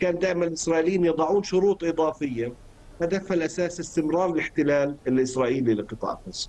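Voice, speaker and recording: Talking at a fairly quick pace, a man with fairly high pitch has a dark, mellow tone and ordinary pitch variation. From Palestine. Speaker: political analyst. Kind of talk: news interview. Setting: remote live link. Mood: serious, analytical. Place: home room. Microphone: video call.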